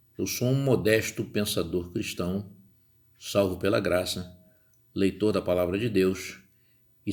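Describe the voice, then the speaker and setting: This man's pitch is very deep and low. He talks fairly slowly. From Rio de Janeiro, Brazil. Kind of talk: podcast monologue. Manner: conversational.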